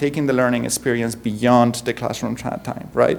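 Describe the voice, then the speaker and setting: A man with a strong Spanish accent talks at a moderate pace. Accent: thick Spanish. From Spain. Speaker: university professor. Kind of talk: conference keynote talk. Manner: halting, many fillers.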